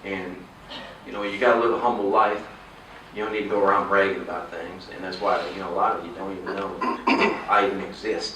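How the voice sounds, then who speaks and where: Monotone, flat delivery from a man, with long, frequent pauses and big swings in loudness, audible room echo and noticeable background noise. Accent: Texan. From Texas. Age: 50s. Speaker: political candidate. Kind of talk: campaign speech. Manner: halting.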